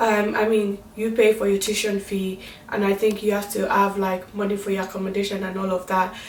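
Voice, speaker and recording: A woman talks at a fairly quick pace in a medium pitch. Her intonation is monotone and flat, with noticeable background noise. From Nigeria. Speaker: vlogger. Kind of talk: casual vlog talk.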